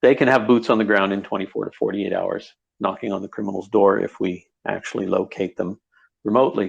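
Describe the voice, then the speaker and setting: With a quiet backdrop, a man rattles off his words very quickly. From Canada. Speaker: project lead and cybersecurity forensic expert. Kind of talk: online audio-room panel introduction. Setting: Twitter audio space, recorded.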